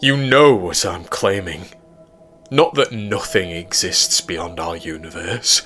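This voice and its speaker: With faint music in the background, a man performs a put-on character voice at a fairly slow pace. His pitch is fairly low but swings very widely. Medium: read story. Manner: confident, persuasive.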